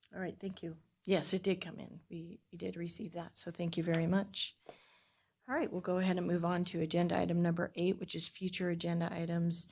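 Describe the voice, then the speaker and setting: A woman with a fairly low pitch talks at a fairly quick pace in a somewhat breathy, monotone, flat voice. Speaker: committee chair. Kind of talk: public meeting.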